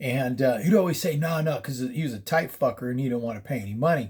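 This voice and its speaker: With an American accent, a man talks at a very fast pace in a somewhat breathy, fairly high voice with ordinary pitch variation. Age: 60s. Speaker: paranormal storyteller. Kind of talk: casual storytelling. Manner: casual, profane, with many fillers.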